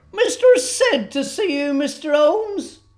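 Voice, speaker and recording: A woman does a put-on character voice at a high pitch with very wide pitch swings. Her pace is moderate. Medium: audio drama. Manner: chatty, muddled.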